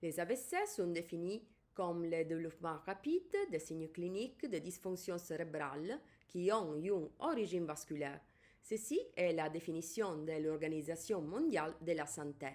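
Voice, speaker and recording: A woman with an Italian accent and a fairly low pitch speaks at a moderate pace. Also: ordinary pitch variation. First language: Italian (speaking French). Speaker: neurologist. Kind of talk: lecture. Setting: pre-recorded video.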